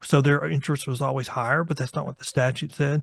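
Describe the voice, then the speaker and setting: A fairly high-pitched man with a Texan accent, at a very fast pace, in a dry, close sound with no echo. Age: 60s. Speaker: bail attorney. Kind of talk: interview.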